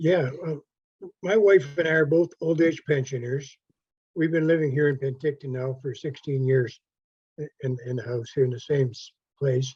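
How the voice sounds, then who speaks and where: With ordinary pitch variation and a fairly high pitch, a man speaks at a moderate pace in a somewhat breathy voice. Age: 80s+. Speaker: retired pensioner, resident asking a question. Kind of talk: public Q&A question. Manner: halting.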